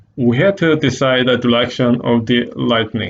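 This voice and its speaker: A man speaks with ordinary pitch variation. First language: Korean. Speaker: art teacher. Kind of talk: tutorial. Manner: halting.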